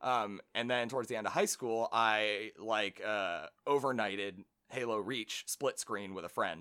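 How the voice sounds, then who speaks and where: A man's bright, sharp tone at a fairly slow pace, with ordinary pitch variation. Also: fairly low pitch for a man, dry, close sound with no echo. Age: 20s. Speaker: podcast guest, gamer. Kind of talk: casual chat.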